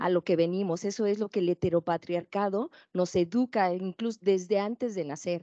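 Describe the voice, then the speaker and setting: A woman's dark, mellow voice at a moderate pace, fairly even in intonation, dry with no echo and set against a quiet background. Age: 40s. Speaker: activist, organization founder; panelist. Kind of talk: panel discussion. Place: classroom. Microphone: handheld.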